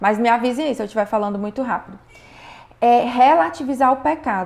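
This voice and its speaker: A woman with an unremarkable speaking voice talks at a fairly quick pace, with a fairly high pitch and ordinary pitch variation. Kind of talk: online class, religious teaching.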